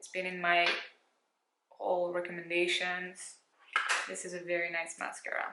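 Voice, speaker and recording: A woman's fairly low voice at a moderate pace, with audible room echo. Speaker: beauty youtuber. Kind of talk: makeup tutorial. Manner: casual.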